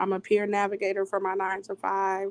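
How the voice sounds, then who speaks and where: In a dry, close sound with no echo, a woman uses a plain, everyday voice at medium pitch and a moderate pace. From US Midwest, Iowa. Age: 20s. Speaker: HIV advocate and peer navigator. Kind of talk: podcast interview.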